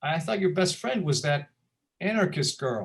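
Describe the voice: A man puts on a character voice with a fairly high pitch and vocal fry. His pace is fairly slow, with big pitch swings.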